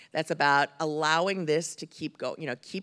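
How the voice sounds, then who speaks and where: Vocal fry and ordinary pitch variation against a quiet background. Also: woman. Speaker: employment lawyer. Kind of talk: panel discussion. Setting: stage with audience. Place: stage. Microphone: handheld.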